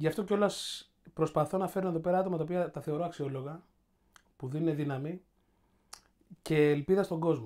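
The speech moves at a fairly quick pace but has long, frequent pauses, in a very clean recording with a silent background. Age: 40s. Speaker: podcast host. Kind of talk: casual chat.

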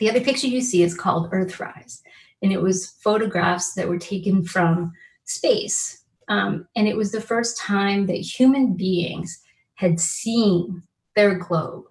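A woman speaks at a fairly slow pace with a somewhat breathy voice. The background is quiet. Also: ordinary pitch variation. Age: 50s. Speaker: law professor. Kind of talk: keynote lecture. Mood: warm, earnest. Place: home room. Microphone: webcam.

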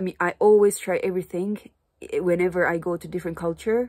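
In a Japanese accent, a woman speaks at a fairly low pitch with a dark, mellow tone and fairly even intonation over a quiet background. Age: 30s. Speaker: Japanese teacher and vlogger; vlogger, language teacher. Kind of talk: casual vlog monologue; casual vlog chat. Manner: halting, frequent fillers. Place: home room. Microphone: phone near.

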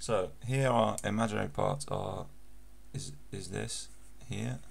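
Over audible room echo, a man speaks at a very slow pace with vocal fry. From England. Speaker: maths tutor. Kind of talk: tutorial.

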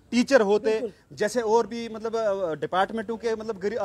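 At a moderate pace, a man talks in a high pitch. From Chenab valley, Jammu and Kashmir; Jammu and Kashmir, India. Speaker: local activist. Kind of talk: interview. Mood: aggrieved, demanding. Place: street. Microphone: handheld.

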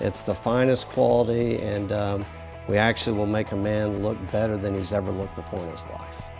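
Fairly quick speech with ordinary pitch variation over clear music in the background. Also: man. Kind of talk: interview answer. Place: shop. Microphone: lapel.

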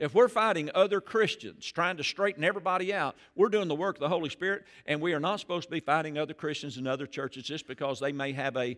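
A man talks very fast. Behind him, the background stays quiet. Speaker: pastor. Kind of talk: sermon. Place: church. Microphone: headset.

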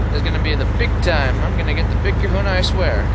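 The speech moves at a fairly quick pace, with dry sound and no echo, against loud background noise. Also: man. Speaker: angler vlogger. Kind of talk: casual vlog chat. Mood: mock-dramatic, playful. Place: boat. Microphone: phone near.

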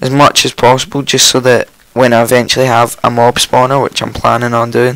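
A man talks at a fairly quick pace and a medium pitch, with little pitch movement. His voice is croaky, yet the tone is clear, smooth and fairly bright.

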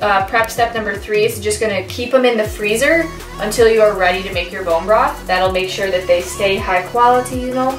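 Clear music plays in the background and audible room echo surrounds a woman who talks at a fairly quick pace with hardly any pauses and ordinary pitch variation. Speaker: cooking vlogger. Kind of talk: tutorial. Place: kitchen. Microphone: camera far.

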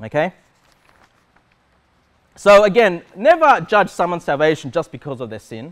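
At a fairly slow pace, a man with a fairly high pitch makes big pitch swings.

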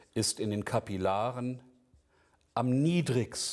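Against a quiet background, a man speaks at a very slow pace. His pitch is medium and his intonation lively. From Hannover, northern Germany; Germany. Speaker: naturopathy lecturer. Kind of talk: lecture. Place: studio.

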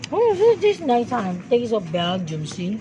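A female speaker, fairly slow, amid noticeable background noise. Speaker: vlogger shopping. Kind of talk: casual vlog chat. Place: shop. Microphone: phone near.

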